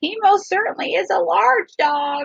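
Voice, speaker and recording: A woman puts on a character voice at a high pitch, swinging very widely in pitch at a moderate pace. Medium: read story. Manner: fluttery and proper.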